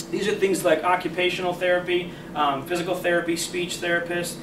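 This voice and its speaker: Talking at a fairly quick pace, a man uses a high pitch. Audible room echo and noticeable background noise fill the recording. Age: 20s. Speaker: sales manager training new agents. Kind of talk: sales training presentation. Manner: conversational, frequent okay fillers.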